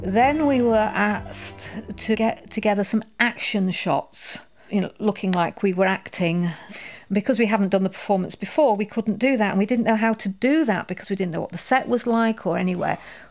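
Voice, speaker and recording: This woman has an ordinary speaking voice, pitched at a medium level with normal rises and falls, and she goes at a moderate pace. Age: 60s. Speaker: theatre actress and director. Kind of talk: documentary interview.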